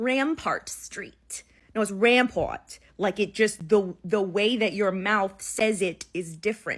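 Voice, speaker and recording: In a New Orleans accent, a woman speaks at a very slow pace with ordinary pitch variation. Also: medium pitch for a woman. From New Orleans, Louisiana. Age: 20s. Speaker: content creator. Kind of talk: casual vlog monologue.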